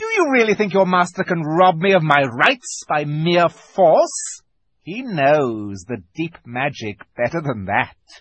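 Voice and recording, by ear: A man uses a put-on character voice, fairly high-pitched and fairly bright in tone. His pitch swings big and his pace is slow.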